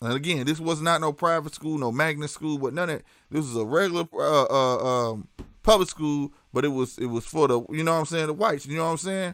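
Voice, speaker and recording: Speaking at a fairly quick pace in a St. Louis accent, the man has a fairly high pitch and ordinary pitch variation. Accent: St. Louis city. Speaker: live streamer. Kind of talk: casual livestream chat. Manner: animated.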